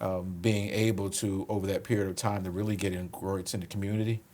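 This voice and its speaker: Speaking very fast with an American accent, a man keeps a fairly low pitch and monotone, flat intonation. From Philadelphia, US. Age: 60s. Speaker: police commissioner. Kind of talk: interview conversation.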